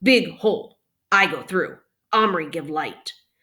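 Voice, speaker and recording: A woman's put-on character voice, growling at a medium pitch and a fairly slow pace. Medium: read story. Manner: terse, clipped broken speech.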